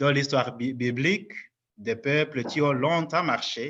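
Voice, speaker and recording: A man speaks with a non-native accent and a bright, sharp tone. His voice is fairly high, with ordinary pitch variation, against a quiet background. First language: not French (speaking French). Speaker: lecturer at a parish conference. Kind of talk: lecture.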